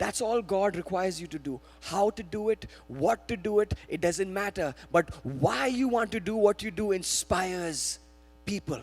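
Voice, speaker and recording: Over music in the background, a man with an Indian accent speaks at a moderate pace in an animated tone. His pitch is high, with ordinary variation. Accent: Indian accent, noticeable. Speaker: guest preacher. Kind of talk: sermon. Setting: church. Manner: animated, exhortative.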